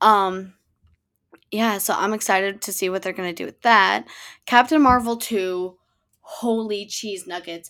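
A woman's bright, sharp tone at a fairly slow pace with long, frequent pauses. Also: medium pitch for a woman, ordinary pitch variation, very clean recording, silent background. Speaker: podcast host. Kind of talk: casual solo chat. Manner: excitable.

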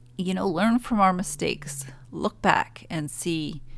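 A woman talks at a fairly slow pace with ordinary pitch variation. The recording is very clean, the background silent. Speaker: spiritual podcast host. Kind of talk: solo spiritual talk. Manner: mellow, low energy; laughs often.

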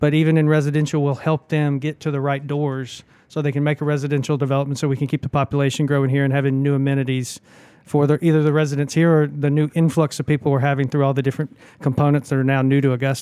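Very fast and very even in loudness, a man speaks at a fairly high pitch with a dark, mellow tone and monotone, flat intonation. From Alabama, Birmingham area. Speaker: economic development director. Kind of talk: interview.

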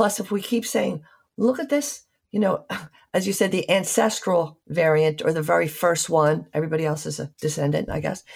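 On a very clean recording with a silent background, a woman speaks with lively intonation at a fairly low pitch, sounding somewhat breathy. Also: moderate pace. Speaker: physician radio host. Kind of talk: interview; scripted narration. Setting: radio studio.

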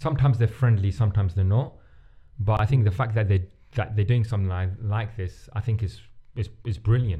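A man's voice, dark and mellow, with a somewhat breathy edge. He talks at a fairly quick pace with ordinary pitch variation. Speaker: podcast host. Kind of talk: casual chat. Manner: halting.

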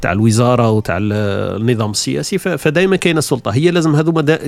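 Lively intonation in a man's voice of medium pitch. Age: 40s. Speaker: podcaster. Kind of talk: solo podcast monologue. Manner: casual conversational.

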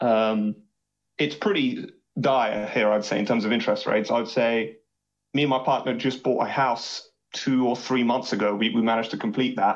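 A man with an English accent at medium pitch, moderate pace, fairly even intonation and very even loudness. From England. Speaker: caller. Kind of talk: phone-in call.

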